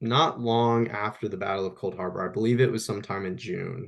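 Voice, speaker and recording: Here a man speaks with an American accent at a medium pitch. The background is quiet. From US Midwest. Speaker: historian. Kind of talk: podcast interview. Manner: halting.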